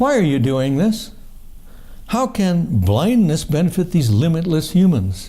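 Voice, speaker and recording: Audible room echo surrounds a man with a high pitch and a dark, mellow tone who talks at a fairly slow pace with very wide pitch swings. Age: 70s. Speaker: poet. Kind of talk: poetry reading. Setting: book launch with audience. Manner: halting.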